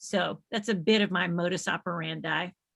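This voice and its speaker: With ordinary pitch variation, this woman talks in a Southern US accent. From US South, Nashville, Tennessee. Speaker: space organization executive and science educator. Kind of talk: casual chat before a live webinar. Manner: animated.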